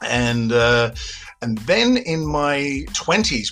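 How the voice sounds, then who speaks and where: Music plays in the background as a man with a medium pitch speaks in an Australian accent. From Australia, Sydney. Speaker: filmmaker. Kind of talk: interview.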